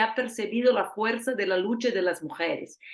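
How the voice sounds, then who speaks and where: A woman with a Portuguese accent speaks at a moderate pace, her fairly high pitch showing ordinary variation. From Brazil. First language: Portuguese (speaking Spanish). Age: 40s. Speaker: politician and journalist. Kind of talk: lecture. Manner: halting.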